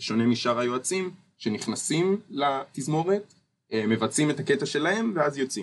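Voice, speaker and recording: Keeping a moderate pace, a man talks in a fairly high pitch with very wide pitch swings. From Israel, Ness Ziona. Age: 20s. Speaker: architecture student. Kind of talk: interview.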